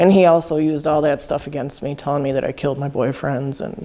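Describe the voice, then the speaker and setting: The voice has a dark, mellow tone with an Upper Midwest accent. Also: woman. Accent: Upper Midwest American. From Wisconsin, US Midwest. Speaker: person in recovery. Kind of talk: testimony.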